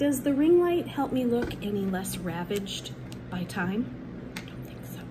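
A woman speaking at a fairly slow pace against noticeable background noise. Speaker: teacher vlogger. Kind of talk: casual vlog chat. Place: home room. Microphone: phone near.

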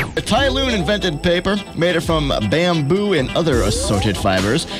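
Over clear music in the background, a man talks at a moderate pace in a high voice with very wide pitch swings. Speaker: radio DJ. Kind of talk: radio interview. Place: studio. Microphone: studio mic.

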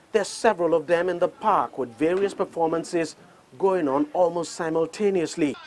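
A man speaks at a moderate pace with a fairly high pitch. His tone is slightly mellow, and his pitch varies in an ordinary way.

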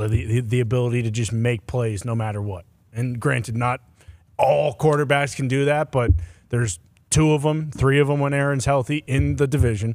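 This man has a plain, everyday voice, with a medium pitch, ordinary pitch variation and a moderate pace. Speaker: sports show panelist. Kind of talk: casual sports talk.

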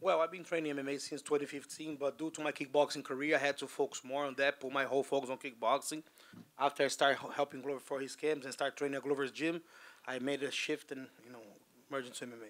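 At a very fast pace, a man delivers his words in a monotone, flat intonation. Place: hall. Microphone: handheld.

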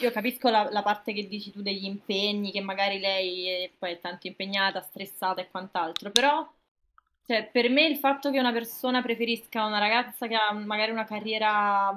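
Fairly even intonation and a moderate pace from a woman. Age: 20s. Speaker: streamer. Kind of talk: casual chat. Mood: calm, arguing a view. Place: home room.

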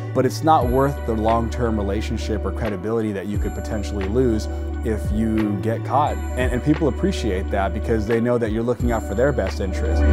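The speech moves at a fairly quick pace with hardly any pauses. Music plays clearly in the background. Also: man. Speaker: certified auctioneer and personal property appraiser. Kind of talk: business owner interview answer. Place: factory. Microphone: lapel.

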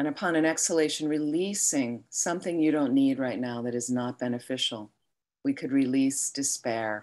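Over a quiet background, a woman with a very deep, low pitch speaks in a soothing, calm tone with ordinary pitch variation. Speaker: meditation teacher. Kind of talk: guided meditation. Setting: online live stream. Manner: slow, soothing, calm. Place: home room. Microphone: webcam.

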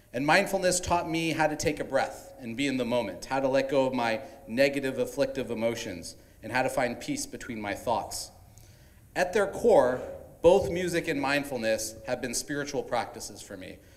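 Speaking at a moderate pace, a man's voice swings widely in loudness. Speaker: event host. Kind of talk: welcome speech. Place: hall. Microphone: handheld.

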